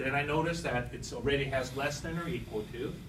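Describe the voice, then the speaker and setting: Over noticeable background noise and audible room echo, a man speaks at a fairly slow pace with ordinary pitch variation. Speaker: instructor. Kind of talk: lecture.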